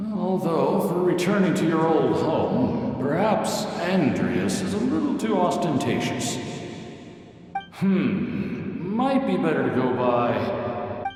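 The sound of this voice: A man performs a cartoonish character voice at a high pitch and a fairly slow pace. A strong echo and clear background noise fill the recording.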